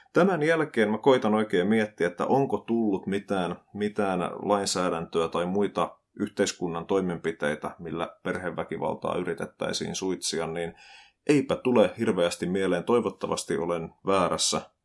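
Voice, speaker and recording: Over a silent background in a very clean recording, a man with a normal speaking voice talks at a fairly slow pace, fairly low in pitch with ordinary pitch variation. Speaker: podcast host, social commentator. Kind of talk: solo commentary podcast.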